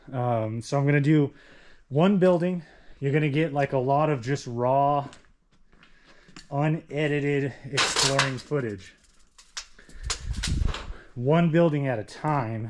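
A man speaks at a fairly slow pace with ordinary pitch variation and long, frequent pauses. Noticeable background noise runs behind him. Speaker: explorer vlogger. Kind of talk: casual vlog chat. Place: classroom. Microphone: phone near.

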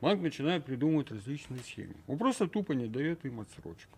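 With a fairly high pitch, the man keeps to a moderate pace. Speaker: talk show guest. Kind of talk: studio talk show discussion. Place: studio. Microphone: studio mic.

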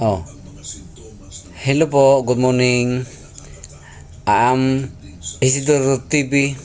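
Speech comes at a very slow pace with fairly even intonation and long, frequent pauses. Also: man, medium pitch for a man. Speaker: vlogger. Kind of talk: vlog narration. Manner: halting.

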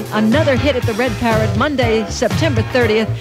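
A woman is heard speaking over loud background noise. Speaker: radio DJ. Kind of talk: radio DJ patter. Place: studio.

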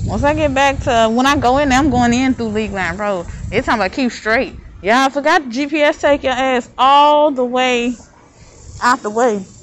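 A woman speaks at a moderate pace over light background noise. Her pitch is high, with ordinary pitch variation. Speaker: vlogger. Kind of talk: casual vlog monologue. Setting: outdoors. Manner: rambling, casual. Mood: relaxed, mildly annoyed by heat. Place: street. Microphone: phone near.

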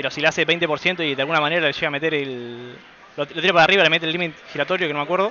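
Very fast speech from a man, with noticeable background noise behind it. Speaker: esports commentator. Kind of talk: live commentary. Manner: animated.

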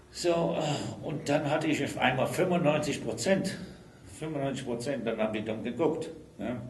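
Long, frequent pauses break up a man's fairly high, lively speech, with audible room echo and light background noise. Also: moderate pace. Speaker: retired railway trade unionist. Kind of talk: oral history interview answer. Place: meeting room.

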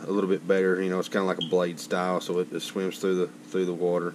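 Light background noise sits under a man's very deep, low voice. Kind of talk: tutorial. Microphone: phone near.

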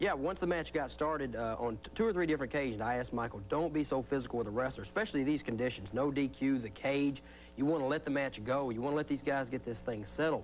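This man talks at a very fast pace with hardly any pauses. His loudness stays very even, his pitch varies in an ordinary way, and there is light background noise. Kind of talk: interview answer. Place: studio.

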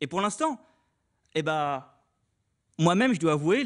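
At a moderate pace over a quiet background, a man's fairly high voice moves through very wide pitch swings. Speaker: student speaker. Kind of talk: speech. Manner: casual.

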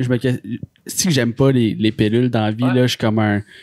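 The sound is dry with no echo and the background quiet. A man speaks at a moderate pace. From Quebec. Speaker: podcast host. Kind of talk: casual chat. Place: studio.

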